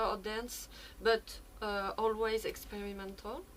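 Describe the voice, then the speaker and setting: Amid noticeable background noise and audible room echo, a woman speaks at a fairly slow pace in a fairly high, monotone voice with flat intonation. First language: not English. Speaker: experimental musician. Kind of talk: conference talk. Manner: halting.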